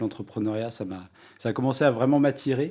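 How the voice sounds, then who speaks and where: A man's dark, mellow voice at medium pitch with fairly even intonation, in a very clean recording against a silent background. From France, Mayenne. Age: 30s. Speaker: entrepreneur. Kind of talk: interview.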